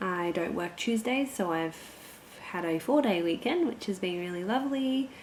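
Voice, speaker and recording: A woman speaks at a moderate pace in an Australian accent. Her medium pitch carries lively intonation. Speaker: cross-stitch vlogger. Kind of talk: casual vlog chat. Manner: animated.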